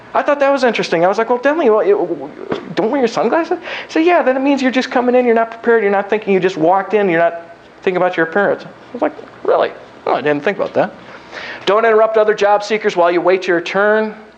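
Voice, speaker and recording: With lively intonation and very even loudness, a man speaks at a high pitch and a very fast pace. Noticeable background noise runs underneath. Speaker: keynote speaker on job seeking, recruiter. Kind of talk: lecture.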